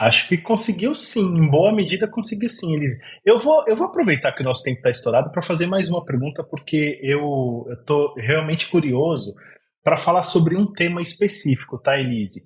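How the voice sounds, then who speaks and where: At a moderate pace, a man with an interior São Paulo accent speaks at a high pitch with lively intonation. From Brazil, interior of São Paulo. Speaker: podcast host. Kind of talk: podcast interview.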